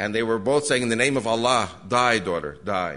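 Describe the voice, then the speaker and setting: Speaking at a fairly quick pace with an American accent, a man with a medium pitch shows vocal fry, lively intonation and a bright, sharp tone, with audible room echo. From USA. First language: Spanish. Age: 70s. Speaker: evangelist speaker. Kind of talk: lecture to a church audience.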